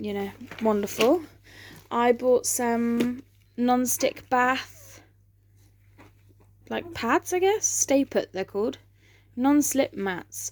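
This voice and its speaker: Here is a woman with an English accent and a high pitch. She talks at a very slow pace, with long, frequent pauses. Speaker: vlogger. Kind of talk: casual chat. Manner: hesitant, many fillers.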